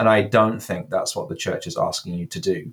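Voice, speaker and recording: A speaker with an American accent comes through on a very clean recording with a silent background. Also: man. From England. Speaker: cathedral dean, priest. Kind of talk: interview conversation.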